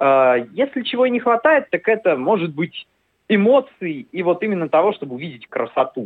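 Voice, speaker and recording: This man's voice sits high in pitch and moves in very wide pitch swings. He keeps a moderate pace. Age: 20s. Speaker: sports journalist. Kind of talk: radio interview.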